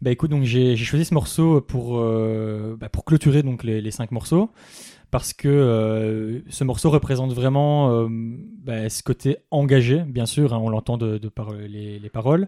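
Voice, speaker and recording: A man with a medium pitch talks very slowly, his tone dark and mellow with ordinary pitch variation. His loudness swings widely, and the sound is dry and close with no echo. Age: 20s. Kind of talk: casual chat.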